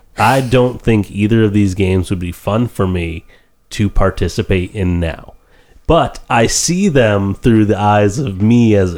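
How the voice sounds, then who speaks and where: A man with a normal speaking voice talks at a fairly low pitch and a fairly slow pace, with ordinary pitch variation. The recording is very clean, the background silent. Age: 30s. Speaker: podcast co-host. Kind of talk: casual chat. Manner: laughs often.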